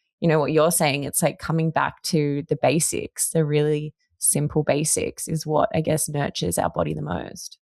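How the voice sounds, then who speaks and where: Dry and close with no echo, a woman with an Australian accent speaks at a moderate pace in a very deep, low pitch with vocal fry, fairly even intonation and hardly any pauses. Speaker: podcast host. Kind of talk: podcast interview.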